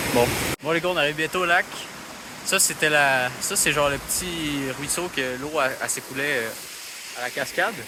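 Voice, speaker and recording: Amid noticeable background noise and audible room echo, a man with a fairly high pitch uses ordinary pitch variation and long, frequent pauses. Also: moderate pace. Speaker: vlogger. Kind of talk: travel vlog. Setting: outdoors hiking. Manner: animated; loud. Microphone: poor audio quality.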